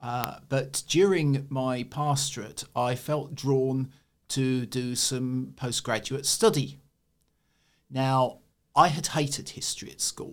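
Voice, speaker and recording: A man's very slow voice in a southern English accent, medium in pitch, on a very clean recording with a silent background. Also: ordinary pitch variation. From eastern England. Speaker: church historian. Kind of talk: interview.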